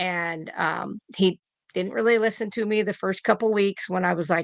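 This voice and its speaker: In an American accent, a woman talks at a moderate pace with vocal fry and fairly even intonation against a quiet background. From US Midwest, southeastern Iowa. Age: 50s. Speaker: nurse. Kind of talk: casual interview.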